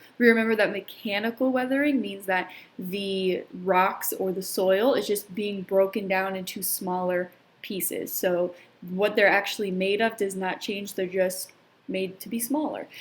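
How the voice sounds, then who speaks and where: A woman talks at a moderate pace with a medium pitch and fairly even intonation, in an unremarkable speaking voice. The recording is very clean, with a silent background. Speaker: teacher. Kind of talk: recorded lesson.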